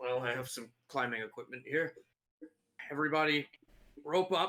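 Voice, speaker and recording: A man puts on a raspy character voice pitched fairly high. He talks at a moderate pace. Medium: actual play. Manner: casual, hesitant, filled with ums.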